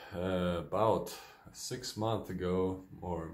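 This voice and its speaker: Audible room echo surrounds a man with a Ukrainian accent and a very deep, low voice. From Ukraine. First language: Ukrainian or Russian. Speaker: vlogger with multiple sclerosis. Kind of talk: personal video diary. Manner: hesitant, many fillers.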